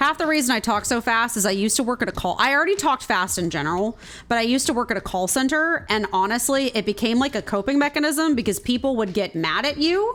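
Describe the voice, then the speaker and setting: A woman speaks at a very fast pace in a high pitch, with hardly any pauses. Her pitch swings very widely while her loudness stays very even. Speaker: video game streamer. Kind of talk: casual chat.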